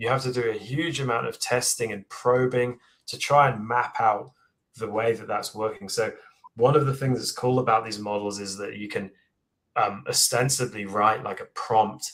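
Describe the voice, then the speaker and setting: In an English accent, a man with a medium-pitched voice speaks at a moderate pace, his intonation fairly even but his loudness swinging widely. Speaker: AI engineer and book author. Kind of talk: live Q&A interview.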